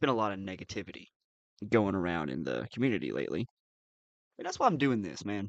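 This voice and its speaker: Over a quiet background, a man speaks at a very fast pace with vocal fry and very wide pitch swings. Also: dry, close sound with no echo. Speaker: live streamer reacting to funny videos. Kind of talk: casual live stream chat.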